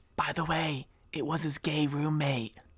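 A raspy, whispering put-on character voice talks at a moderate pace. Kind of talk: conspiratorial aside.

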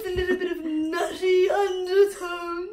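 An extremely high-pitched, put-on character voice with a pompous tone and monotone, flat intonation. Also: moderate pace. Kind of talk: posh, refined wine expert. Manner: pompous, savoring.

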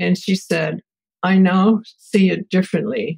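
With vocal fry and fairly even intonation, a woman speaks in a dry, close sound with no echo. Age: 80s+. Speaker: family therapist and researcher. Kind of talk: interview answer.

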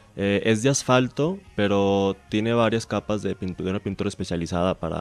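Over music in the background, the speech moves at a fairly quick pace with hardly any pauses and ordinary pitch variation, in a dry, close sound with no echo. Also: man. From Mexico, Hermosillo (Sonora). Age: 20s. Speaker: speed skater, world champion athlete. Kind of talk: radio interview.

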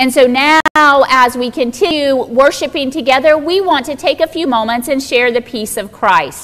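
This is a woman's voice. She speaks at a moderate pace. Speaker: pastor giving announcements. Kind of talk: church announcements. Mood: warm, inviting. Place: church.

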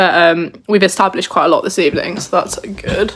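With a quiet background, a woman talks at a fairly quick speed, her pitch varying in an ordinary way. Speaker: university student vlogger. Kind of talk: casual vlog chat. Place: home room. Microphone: phone near.

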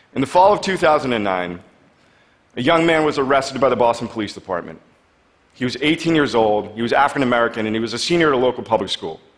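His pace is very fast. The man's intonation is lively. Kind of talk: prepared public talk. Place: stage.

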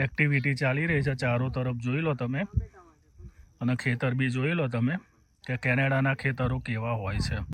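A man with a plain, everyday voice keeps a medium pitch, very even loudness and fairly even intonation. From Gujarat, India (Ahmedabad). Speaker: vlogger. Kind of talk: casual vlog narration. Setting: outdoors on a farm.

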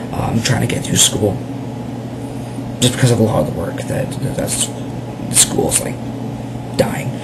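Against loud background noise, a man talks at a moderate pace. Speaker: vlogger. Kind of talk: casual talk to camera. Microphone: webcam.

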